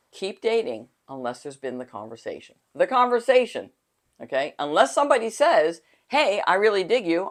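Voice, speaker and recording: A woman talks at a fairly quick pace with vocal fry. Her pitch swings very widely. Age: 60s. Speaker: dating coach. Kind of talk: casual talk to camera. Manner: halting.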